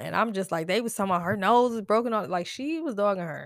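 A woman speaks at a fairly quick pace with vocal fry and an animated tone. The recording is very clean, with a silent background. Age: 30s. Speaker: podcast host. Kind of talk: casual chat. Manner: animated, laughing often.

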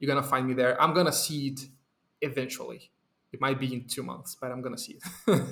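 Speaking at a fairly quick pace with a Portuguese accent, a man uses a fairly high pitch and fairly even intonation, with big swings in loudness. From Brazil. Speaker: software developer. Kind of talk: casual chat.

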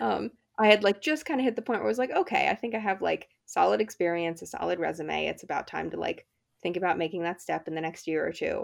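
Against a quiet background, a woman with an American accent speaks at a very fast pace. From New Jersey, US. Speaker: stage manager. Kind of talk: interview. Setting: remote recording.

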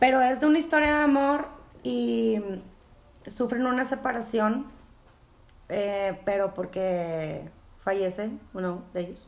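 With a Mexican accent, the speaker talks at a very slow pace with long, frequent pauses and very wide pitch swings, amid audible room echo. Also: woman, medium pitch for a woman. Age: 40s. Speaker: podcast co-host. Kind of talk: casual chat.

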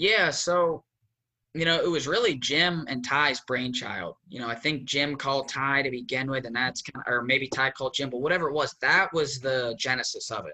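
A man's plain, everyday voice in an American accent, fairly high in pitch with ordinary pitch variation, at a moderate pace. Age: 20s. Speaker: former college wrestler. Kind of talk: casual interview.

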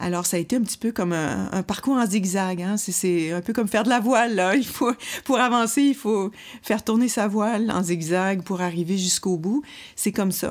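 A woman speaks in an ordinary speaking voice at a moderate pace, her medium pitch moving with ordinary variation, on a very clean recording with a silent background. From Quebec City. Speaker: women's rights organization president. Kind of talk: interview.

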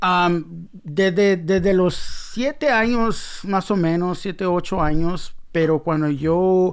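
The speaker talks at a very slow pace, with a loudness that stays very even throughout. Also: man, high pitch for a man, ordinary pitch variation. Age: 40s. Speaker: graffiti artist. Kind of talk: casual interview. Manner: hesitant, repeats words.

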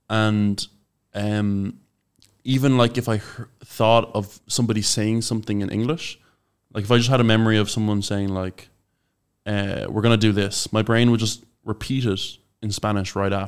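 In a very clean recording with a silent background, the speaker uses a monotone, flat intonation with an Irish accent. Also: man, fairly low pitch for a man, moderate pace. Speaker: podcast co-host, language learner. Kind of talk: casual chat.

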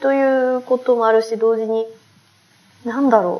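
Here a woman speaks with a high-pitched voice. Her pace is moderate. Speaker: philosophy researcher leading dialogues. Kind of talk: casual chat.

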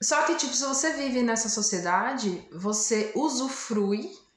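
With audible room echo, a soft-spoken woman talks at a fairly slow pace. Her pitch is fairly high and her intonation lively. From interior of Brazil. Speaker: podcast co-host. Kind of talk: casual chat. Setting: video call. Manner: calm, soft.

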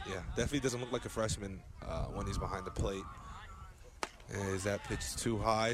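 Noticeable background noise behind a fairly low male voice with fairly even intonation. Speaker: radio sports play-by-play announcer. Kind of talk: live sports commentary, play-by-play on a baseball game, calling counts and pitches. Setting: radio broadcast booth.

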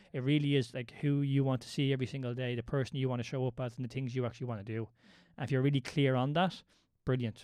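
A man's dark, mellow voice with an Irish accent, medium in pitch and fairly even in intonation, at a very fast pace against a quiet background. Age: 30s. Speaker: movement coach. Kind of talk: casual chat.

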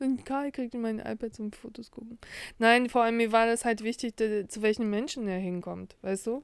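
Fairly high in pitch, a woman talks at a moderate pace with fairly even intonation and big swings in loudness. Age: 40s. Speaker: podcast co-host. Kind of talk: casual chat. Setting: lying in bed.

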